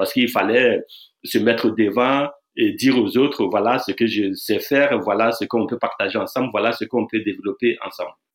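The voice belongs to a man. It stays at a medium pitch. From Burkina Faso, near Bobo-Dioulasso. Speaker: dancer and choreographer. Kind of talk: interview. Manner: halting, with repetitions.

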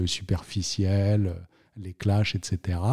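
The pace is very slow. The tone is dark and mellow. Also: man. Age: 40s. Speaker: notary. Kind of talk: interview. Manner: hesitant, many fillers and repetitions.

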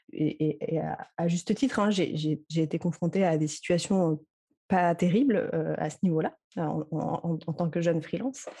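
Speaking at a fairly slow pace, a woman uses a fairly low pitch with ordinary variation, her dark, mellow tone marked by vocal fry. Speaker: social media consultant. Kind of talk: interview. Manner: halting.

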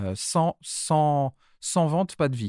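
Very slow and lively in intonation, a man's dark, mellow voice comes through a dry, close sound with no echo and a silent background in a very clean recording. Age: 50s. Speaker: start-up founder, former business school director. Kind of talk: casual interview.

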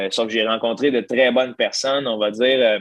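A man with a Quebec accent. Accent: Québécois French. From Quebec, Gentilly (Centre-du-Québec). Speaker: stand-up comedian. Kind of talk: casual interview conversation.

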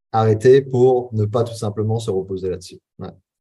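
Somewhat breathy and dark, mellow in tone, a man's fairly low voice moves at a moderate pace with ordinary pitch variation. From western France (Charente-Maritime). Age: 30s. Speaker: entrepreneur and business coach. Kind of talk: casual interview. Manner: hesitant, many fillers.

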